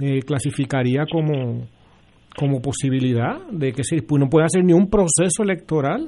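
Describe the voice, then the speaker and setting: Speaking at a moderate pace, a man has an ordinary speaking voice with a fairly high pitch. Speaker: political panelist. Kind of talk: political panel discussion.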